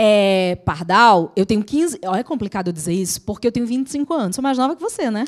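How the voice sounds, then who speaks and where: A woman with a Natal accent speaks at a very fast pace in a fairly high pitch. Her tone is animated and her intonation lively, with a dry, close sound and no echo. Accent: Northeastern Brazilian (Natal). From Brazilian Northeast, Natal. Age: 40s. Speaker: law lecturer for civil service exams. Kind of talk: casual teaching chat.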